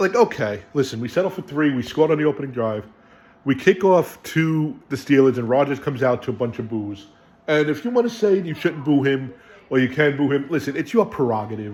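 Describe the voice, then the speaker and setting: Over noticeable background noise, a man with a New York accent talks at a fairly quick pace, with a fairly high pitch and lively intonation. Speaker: sports fan video host. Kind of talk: casual game recap. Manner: animated.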